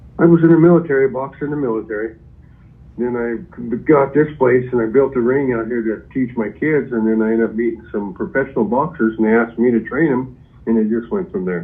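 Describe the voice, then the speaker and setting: Using a normal speaking voice, a man speaks fairly quickly at a medium pitch, his pitch varying in an ordinary way. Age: 60s. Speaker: property seller, boxing trainer. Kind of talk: phone call with buyer. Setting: phone call.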